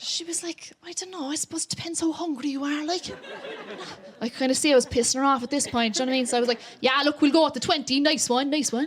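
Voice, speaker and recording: Over noticeable background noise, a speaker with a Cork accent talks at a very fast pace. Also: woman, high pitch for a woman, ordinary pitch variation. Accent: Cork accent, stronger when nervous. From Ireland, County Cork. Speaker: comedian. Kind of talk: stand-up. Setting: stage with audience. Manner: animated.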